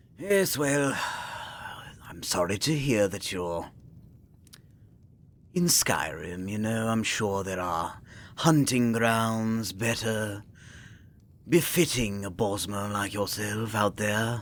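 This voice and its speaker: Putting on a character voice, a man speaks at a fairly low pitch. His delivery is very slow, with long, frequent pauses. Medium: role play.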